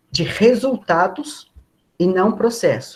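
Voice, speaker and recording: This man speaks with lively intonation. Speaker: body preparation trainer for performers. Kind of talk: online lecture. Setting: video call.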